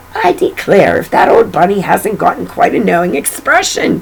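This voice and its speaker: A raspy, put-on character voice comes at a moderate pace over clear background noise. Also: woman. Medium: read story. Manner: brisk, no-nonsense.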